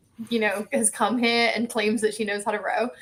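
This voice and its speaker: Fairly high-pitched woman's voice in an English accent. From England. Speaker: athlete, ocean rower. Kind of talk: podcast interview.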